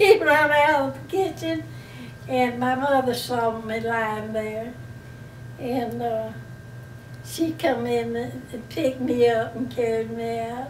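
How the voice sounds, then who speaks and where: Very slowly, a woman speaks. She has an Alabama accent. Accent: Southern US (Alabama). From Slocum, Alabama. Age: 80s+. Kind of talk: interview answer.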